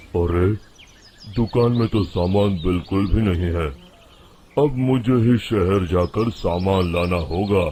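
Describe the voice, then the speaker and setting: A man uses a put-on character voice, rumbling at a very deep, low pitch. He talks at a fairly slow pace. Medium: cartoon. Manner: grumbling.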